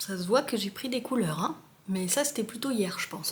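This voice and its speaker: A woman's fairly high-pitched voice is heard through noticeable background noise. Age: 30s. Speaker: vlogger. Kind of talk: casual vlog talk to camera. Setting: bathroom of rented flat. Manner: casual, hesitant with many fillers.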